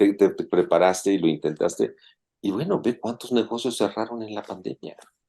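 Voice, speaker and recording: Talking at a moderate pace, a man has a Mexican accent. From Mexico. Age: 60s. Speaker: open-water swimmer and businessman. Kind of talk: casual interview.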